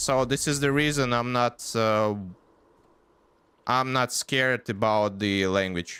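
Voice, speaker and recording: The tone is bright and sharp, with ordinary pitch variation. Loudness stays very even, broken by long, frequent pauses. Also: man, medium pitch for a man. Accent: non-native. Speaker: gaming streamer. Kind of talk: casual live stream chat. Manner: halting, many fillers.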